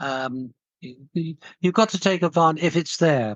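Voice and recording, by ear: A man talks at a fairly slow pace. His pitch sits fairly high. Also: ordinary pitch variation.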